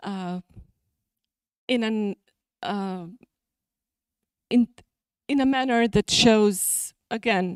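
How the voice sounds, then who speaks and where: A woman in a Serbian accent, fairly high-pitched and very slow, on a very clean recording with a silent background and a dry, close sound with no echo. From Serbia (Niš). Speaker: journal editor and academic. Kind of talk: conference talk. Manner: halting.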